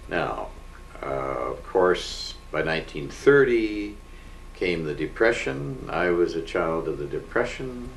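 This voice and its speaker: A man with a Canadian accent at a very slow pace, with audible room echo and noticeable background noise. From Canada, Winnipeg. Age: 70s. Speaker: family elder sharing memories. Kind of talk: oral history interview. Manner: halting, with many fillers.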